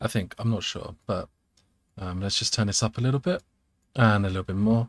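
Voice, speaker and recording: Soft-spoken and somewhat breathy, a man talks fairly quickly in a dry, close recording with no echo and a very clean, silent background. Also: medium pitch for a man, ordinary pitch variation. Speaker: electronics hobbyist streamer. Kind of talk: casual live setup talk.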